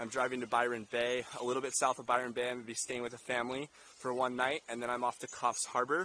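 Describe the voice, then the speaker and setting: Over light background noise, a man speaks at a very fast pace in a dry sound with no echo. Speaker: travel vlogger. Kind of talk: casual vlog chat. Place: forest. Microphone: phone near.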